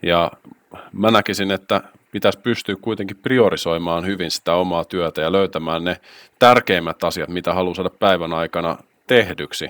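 In a very clean recording with a silent background and a dry, close sound with no echo, a man speaks at a very deep, low pitch with ordinary pitch variation. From Finland, Helsinki capital region (Espoo). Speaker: workplace wellbeing coach and entrepreneur. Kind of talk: casual interview chat.

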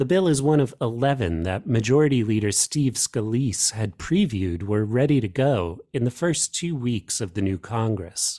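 An ordinary speaking voice from a man, medium in pitch, at a moderate pace with hardly any pauses and lively intonation, in a dry, close sound with no echo. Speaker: news podcast host. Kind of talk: news reading, scripted morning briefing. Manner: formal, crisp, steady newsreader pace.

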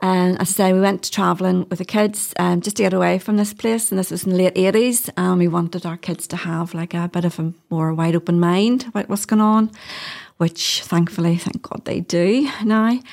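In a Northern Irish accent, a woman speaks at a moderate pace. Her pitch is medium and her intonation fairly even. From Northern Ireland. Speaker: doula. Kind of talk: casual chat.

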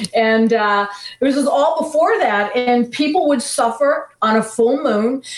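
In an American accent, an ordinary speaking voice goes at a fairly slow pace, its pitch varying an ordinary amount. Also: woman. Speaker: actress and paranormal personality. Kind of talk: casual chat.

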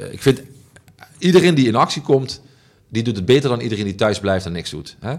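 A man at medium pitch, fairly quick yet with long, frequent pauses, very wide pitch swings and big swings in loudness. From Netherlands, Heerlen (South Limburg). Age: 40s. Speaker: former union leader and programme director. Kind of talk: interview. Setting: office. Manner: halting.

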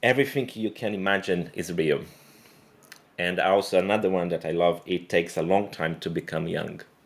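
With a Portuguese accent, a man speaks in a very deep, low voice. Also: ordinary pitch variation, fairly quick pace. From Brazil. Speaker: graphic designer. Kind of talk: casual chat. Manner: halting, with frequent repetitions.

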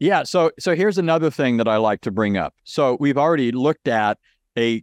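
A man with an American accent has an ordinary speaking voice. He talks at a moderate pace with lively intonation over a quiet background. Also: dry, close sound with no echo. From Southern California. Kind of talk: interview on religion.

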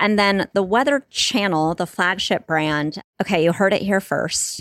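A fairly slow Californian accent with ordinary pitch variation, dry and close with no echo, on a very clean recording with a silent background. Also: woman. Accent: General American (Californian). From Southern California, Santa Barbara. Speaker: marketing executive. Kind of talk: interview.

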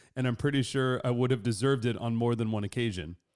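A man speaks in a medium pitch with an American accent and ordinary pitch variation. The recording is very clean, with a silent background. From Los Angeles. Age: 30s. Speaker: podcast host and musician. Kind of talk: casual chat. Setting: live stream.

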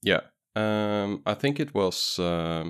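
A man talks with a Norwegian accent and fairly even intonation. The recording is very clean with a silent background, and the sound is dry and close with no echo. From Norway. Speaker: keyboard maker and vendor. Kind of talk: interview.

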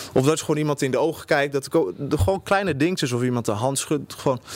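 A man's fairly high pitch with lively intonation. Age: 20s. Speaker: university student. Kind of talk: interview. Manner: halting, many repetitions.

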